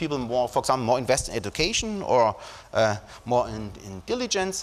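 Someone with a German accent speaks with very wide pitch swings. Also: man. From Germany. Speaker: psychologist and professor giving a talk. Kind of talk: academic lecture. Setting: conference stage with audience. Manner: formal, hesitant with fillers. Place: hall.

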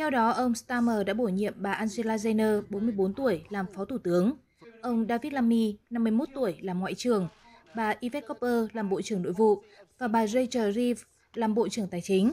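This woman has a normal speaking voice with a fairly high pitch. She keeps a moderate pace and ordinary pitch variation. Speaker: news reader. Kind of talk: news reading.

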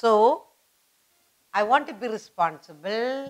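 The setting is quiet. A woman does the talking. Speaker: teacher. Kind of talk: lesson for children. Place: studio.

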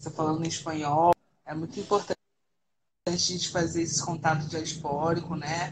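Over noticeable background noise, a woman with a very deep, low pitch talks at a moderate pace, somewhat breathy, with monotone, flat intonation. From Brazil, Rio de Janeiro (Baixada Fluminense); Rio de Janeiro, Brazil. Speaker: international relations writer; radio guest. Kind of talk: casual chat. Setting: online livestream call. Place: home room. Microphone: video call.

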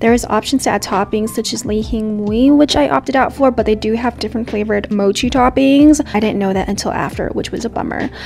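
Over music in the background, a woman with an American accent and a fairly high pitch talks very fast with hardly any pauses and ordinary pitch variation. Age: 20s. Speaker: travel and food vlogger. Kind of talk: vlog narration. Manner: casual, chatty.

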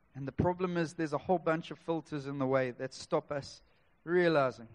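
A man's fairly high-pitched voice at a moderate pace, with fairly even intonation. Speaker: preacher. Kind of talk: church sermon. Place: church.

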